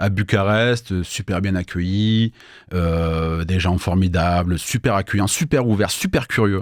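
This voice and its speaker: A man with a southern French accent speaks at a fairly slow pace on a very clean recording with a silent background. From southern France, Avignon. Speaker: entrepreneur, business consultant. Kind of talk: radio interview. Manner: hesitant, many fillers.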